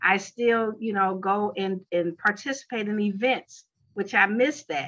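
With an American accent, a woman speaks in an unremarkable speaking voice at medium pitch with ordinary pitch variation. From Chicago, US Midwest. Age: 50s. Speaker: college marketing professor and wellness entrepreneur. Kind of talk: interview.

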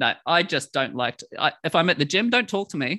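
Someone with a New Zealand accent talks at a fairly quick pace in a bright, sharp tone. The sound is dry and close, with no echo. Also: man. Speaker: podcast host. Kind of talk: casual chat.

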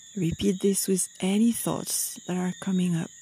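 A woman speaks in a calm, soothing tone that is dark, mellow, and somewhat breathy. Her pitch is medium, her intonation fairly even, and her pace fairly slow. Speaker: meditation guide. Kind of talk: guided meditation. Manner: slow, calm, soothing, with gentle pauses.

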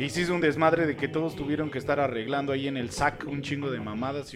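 Music plays in the background as a man talks at a very fast pace. His pitch is fairly high, with ordinary variation. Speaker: podcast host. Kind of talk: casual chat.

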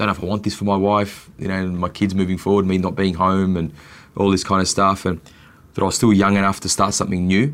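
Talking at a very fast pace, a man with an Australian accent has a very deep, low pitch and monotone, flat intonation. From Australia, Melbourne. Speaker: chef and restaurateur. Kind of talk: casual interview.

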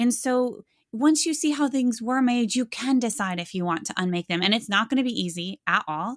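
A woman's plain, everyday voice, fairly high-pitched, with an American accent, lively intonation and a moderate pace, on a very clean recording with a silent background and a dry, close sound with no echo. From US Midwest (Iowa). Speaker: history professor and author. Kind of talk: interview.

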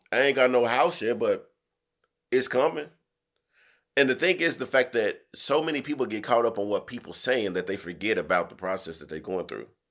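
At a fairly quick pace, a man with a medium pitch and vocal fry sounds animated, his pitch swinging very widely, on a very clean recording with a silent background. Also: big swings in loudness. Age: 30s. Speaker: podcast host. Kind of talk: casual chat, opinionated discussion. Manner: animated, profane, emphatic.

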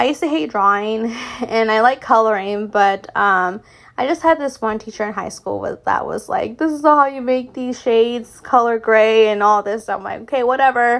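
At a moderate pace, a woman talks at a fairly high pitch with ordinary pitch variation. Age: 30s. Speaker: podcast host. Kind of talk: casual monologue.

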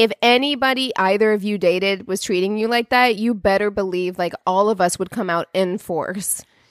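A woman has an ordinary speaking voice, talking at a moderate pace with ordinary pitch variation in a dry, close sound with no echo. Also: medium pitch for a woman. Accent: American. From US Midwest. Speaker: podcast co-host. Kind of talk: casual chat.

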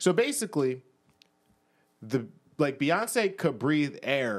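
A man with an American accent has an ordinary speaking voice and a fairly high pitch. He talks at a moderate pace on a very clean recording with a silent background. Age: 20s. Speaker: podcast co-host. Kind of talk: casual chat.

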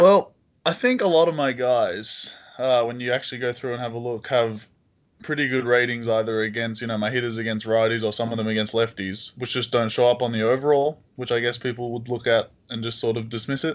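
Against a quiet background, a man speaks at a medium pitch with an Australian accent. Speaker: online baseball league general manager. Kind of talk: casual chat.

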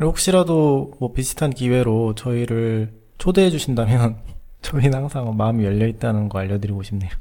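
A man's dark, mellow tone with lively intonation. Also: medium pitch for a man, moderate pace. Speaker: podcast co-host. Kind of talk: casual chat.

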